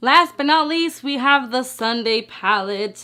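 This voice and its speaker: A woman with a non-native accent speaks in an animated tone with lively intonation. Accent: non-native English, noted pronunciation. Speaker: beauty youtuber. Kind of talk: makeup tutorial. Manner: casual, animated.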